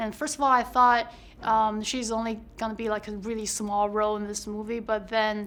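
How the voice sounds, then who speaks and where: At a moderate pace, a woman with a Chinese accent speaks at a fairly high pitch with monotone, flat intonation. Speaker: actor. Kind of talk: press interview.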